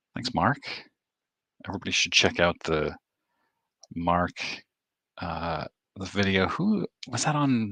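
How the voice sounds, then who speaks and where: Lively intonation in an American accent, a fairly slow pace with long, frequent pauses, and a dry, close sound with no echo over a quiet background. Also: man, fairly low pitch for a man. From Maine, US. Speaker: sports card YouTuber. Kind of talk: livestream chat reading comments. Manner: quiet, keeping voice down.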